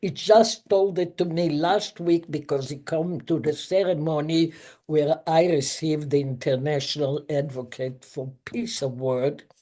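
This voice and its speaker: A dark, mellow voice with a non-native accent, fairly slow pace and ordinary pitch variation against a quiet background. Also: woman, very deep, low pitch for a woman, hardly any pauses. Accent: foreign accent, noticeable. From Israel. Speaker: chemist and professor. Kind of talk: interview.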